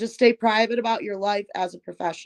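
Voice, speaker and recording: In an American accent, a woman with an unremarkable speaking voice talks at a moderate pace in a medium pitch, her intonation fairly even. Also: dry, close sound with no echo. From Michigan. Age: 30s. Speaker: musical artist. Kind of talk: interview. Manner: casual.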